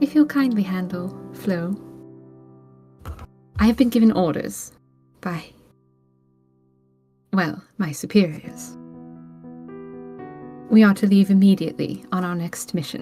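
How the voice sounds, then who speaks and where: Faint music plays behind a soft-spoken, breathy, female-sounding put-on character voice at medium pitch, moving at a moderate pace with long, frequent pauses. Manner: soft and breathy.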